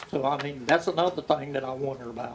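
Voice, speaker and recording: Over noticeable background noise, a man with a North Carolina accent speaks at a moderate pace with fairly even intonation. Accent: US South (North Carolina). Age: 70s. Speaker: local resident speaking at public hearing. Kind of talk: public comment.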